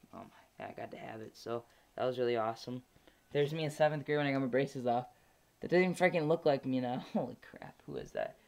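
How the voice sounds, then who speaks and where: A man talks at a very fast pace in a fairly high pitch. His pitch varies in an ordinary way while his loudness swings widely. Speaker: vlogger documenting gender transition. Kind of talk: personal video diary. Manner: hesitant, many fillers.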